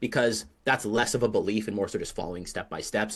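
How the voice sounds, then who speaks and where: A man speaks at a very fast pace in a medium pitch. The background is quiet. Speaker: AI agency coach. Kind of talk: live webinar presentation. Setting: Zoom webinar.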